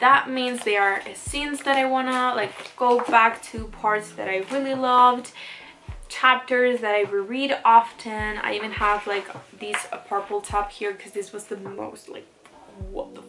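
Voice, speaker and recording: Music plays behind a woman with a non-native accent and a fairly high pitch. Her loudness swings widely while her intonation stays fairly even at a moderate pace. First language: not English. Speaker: booktuber. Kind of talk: casual vlog tutorial. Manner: casual, filler-heavy.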